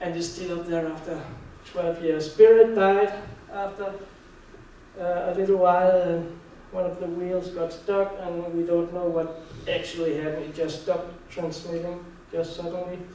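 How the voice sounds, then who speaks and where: Someone with a Danish accent speaks at a moderate pace in monotone, flat intonation, with long, frequent pauses. Noticeable background noise and audible room echo fill the recording. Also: man, high pitch for a man. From Denmark. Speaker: conference speaker on Mars anomalies. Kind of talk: lecture. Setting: conference hall with audience. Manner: halting, with repeated words.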